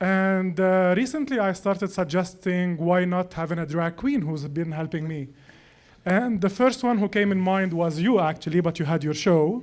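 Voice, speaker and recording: Speaking at a moderate pace with ordinary pitch variation, a man with a high voice and a Lebanese accent is heard on a very clean recording with a silent background. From Lebanon. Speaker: personal chef. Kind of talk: casual chat.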